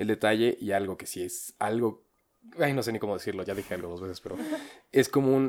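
Speaking at a fairly quick pace, a man uses a normal speaking voice at a medium pitch. The recording is very clean, with a silent background. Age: young. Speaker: podcast co-host. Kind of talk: casual chat.

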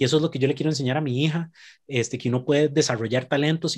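A man speaks very fast in a somewhat breathy, fairly high voice with ordinary pitch variation. The recording is very clean, with a silent background. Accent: Costa Rican. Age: 30s. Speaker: podcast guest. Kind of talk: casual chat.

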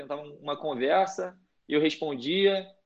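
In a Rio de Janeiro accent, a man speaks with ordinary pitch variation. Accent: Carioca Brazilian Portuguese. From Brazil, Rio de Janeiro. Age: 20s. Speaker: college soccer player. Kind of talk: casual interview.

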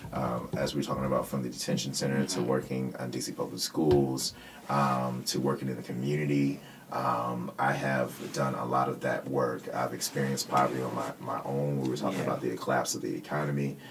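The speaker goes at a fairly quick pace in an American accent, with monotone, flat intonation and noticeable background noise. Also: man, very deep, low pitch for a man. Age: 30s. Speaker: political candidate. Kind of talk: casual chat.

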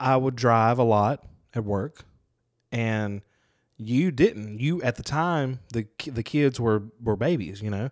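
A man with a Southern US accent, medium-pitched, very slow, with ordinary pitch variation, on a very clean recording against a silent background. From Mississippi, Lucedale. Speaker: podcast co-host. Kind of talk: casual chat.

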